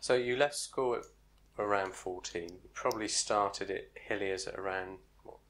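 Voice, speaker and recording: The pace is fairly slow, with ordinary pitch variation. It is an unremarkable speaking voice. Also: man, big swings in loudness. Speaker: oral history interviewer. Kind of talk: oral history interview questions.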